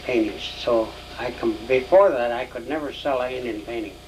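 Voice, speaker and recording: Noticeable background noise sits behind a man with an American accent. He speaks at a moderate pace and a medium pitch. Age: 70s. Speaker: painter. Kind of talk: interview. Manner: halting.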